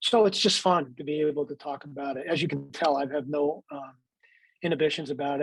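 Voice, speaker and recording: Speaking at a fairly quick pace, a man with a fairly high pitch uses an unremarkable speaking voice. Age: 60s. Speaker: baseball executive and TV analyst. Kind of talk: faith interview.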